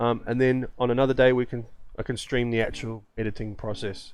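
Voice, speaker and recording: This is a man with an Australian accent. His pitch sits in the medium range. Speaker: photographer and gaming streamer. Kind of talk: casual live-stream chat. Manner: halting, many filler ums.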